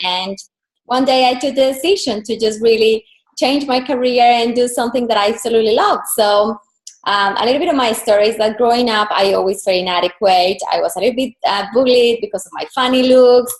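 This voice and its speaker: A woman with a Colombian accent speaks at fairly high pitch with ordinary pitch variation. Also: fairly quick pace. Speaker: personal brand and style coach. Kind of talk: interview.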